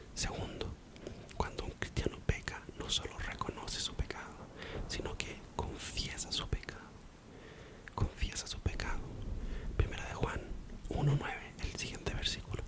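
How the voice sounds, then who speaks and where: Whispering at a moderate pace, a man leaves long, frequent pauses over noticeable background noise. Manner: whispered, soft-spoken.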